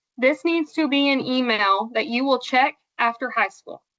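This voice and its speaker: Raised, projected woman's voice, high-pitched, bright and sharp in tone, with an American accent. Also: dry, close sound with no echo. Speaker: 4-H extension presenter. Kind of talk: training presentation.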